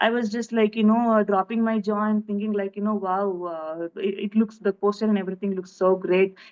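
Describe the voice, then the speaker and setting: The delivery is monotone and flat, with a Telugu accent. The pace is moderate. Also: woman. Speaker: film director. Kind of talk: interview. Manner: halting.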